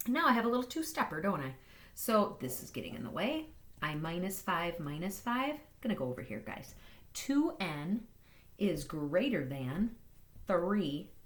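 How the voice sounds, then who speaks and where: Animated and somewhat breathy, a woman speaks at a medium pitch and moderate pace with very wide pitch swings, in a room with audible echo. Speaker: math teacher. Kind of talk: tutorial.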